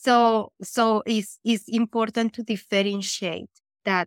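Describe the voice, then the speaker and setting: A woman's fairly high-pitched voice in a Colombian accent, fairly slow and monotone with flat intonation, in a dry, close sound with no echo. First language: Spanish. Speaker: nutritionist. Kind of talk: casual interview chat.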